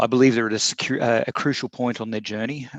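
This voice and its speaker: In a dry, close recording with no echo and a quiet background, a man with an Australian accent speaks at a fairly low pitch. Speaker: corporate security executive. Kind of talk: prepared statement in online Q&A. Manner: hesitant with fillers.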